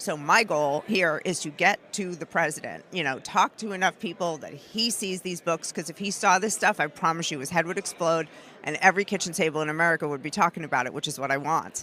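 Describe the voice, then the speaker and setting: A woman speaks in a New York accent at a fairly quick pace, her pitch fairly low. Her tone is animated, bright and sharp, with ordinary pitch variation. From New York, Brooklyn. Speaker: activist filmmaker and commentator. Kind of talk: interview. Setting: conference floor. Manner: fast.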